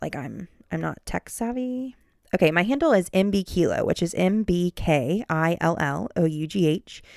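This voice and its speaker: A woman with a Midwestern American accent, on a very clean recording with a silent background. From Ohio, Cincinnati. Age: 20s. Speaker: podcast host, mom. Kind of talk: casual monologue. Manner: halting, many fillers.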